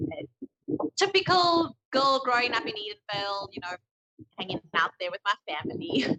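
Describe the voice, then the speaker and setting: Music plays in the background as a woman with a fairly high voice speaks at a moderate pace, her pitch swinging very widely. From South Africa, Johannesburg area. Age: 30s. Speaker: guest. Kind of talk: casual chat. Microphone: phone mic picks up rustle.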